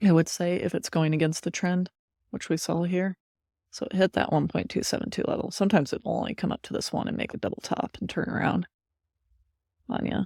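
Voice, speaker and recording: Quiet and very fast, a woman speaks with a fairly low, dark, mellow voice, vocal fry and ordinary pitch variation, recorded very cleanly and dry with a close sound, no echo and a silent background. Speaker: crypto trader and streamer. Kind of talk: live trading commentary. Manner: quiet, low voice; casual, thinking aloud.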